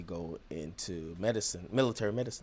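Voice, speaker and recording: A man with a Jamaican accent and very deep, low pitch. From Jamaica, Kingston. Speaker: genomics company founder and veteran. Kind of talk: interview.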